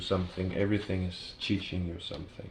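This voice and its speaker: A fairly low male voice at a moderate pace, with audible room echo. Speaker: tarot reader. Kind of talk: tarot reading to camera. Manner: halting, with fillers.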